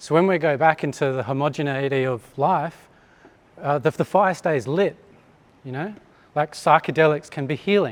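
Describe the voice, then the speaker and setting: An Australian-accented man talks at a fairly high pitch with ordinary pitch variation. He leaves long, frequent pauses. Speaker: chiropractor giving a talk. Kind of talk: conference talk to live audience. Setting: hall with live audience. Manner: fast; hesitant with fillers.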